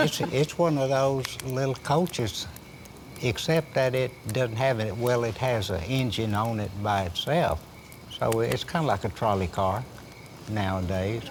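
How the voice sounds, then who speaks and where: Lively intonation marks a man's medium-pitched voice at a fairly slow pace. Noticeable background noise runs underneath. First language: Chickasaw. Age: old. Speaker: Chickasaw elder. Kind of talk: oral history storytelling.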